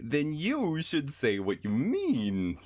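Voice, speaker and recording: Using a put-on character voice, a man speaks with a fairly high pitch. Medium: read story.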